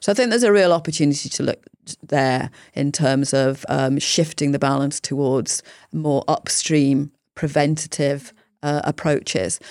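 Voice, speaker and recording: A woman's very deep, low voice at a moderate pace with ordinary pitch variation. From Yorkshire, England. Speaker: health service chief executive. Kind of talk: interview conversation.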